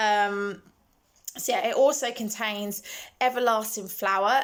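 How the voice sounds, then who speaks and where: Here a woman speaks at a very slow pace. Her pitch variation is ordinary. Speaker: beauty vlogger. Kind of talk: casual product talk. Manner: hesitant, many ums.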